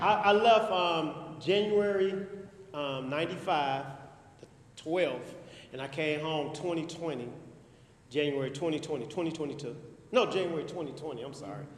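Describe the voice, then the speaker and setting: A man with an American accent talks at a moderate pace in a fairly high pitch, with ordinary pitch variation and big swings in loudness. Long, frequent pauses break up his speech, and noticeable background noise and audible room echo surround it. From Chicago, far south side. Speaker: formerly incarcerated speaker. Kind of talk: testimony.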